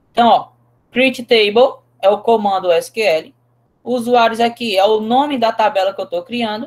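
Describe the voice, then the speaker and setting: An unremarkable speaking voice from a woman, fairly high in pitch with ordinary pitch variation and a fairly slow pace. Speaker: teacher. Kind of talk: lecture.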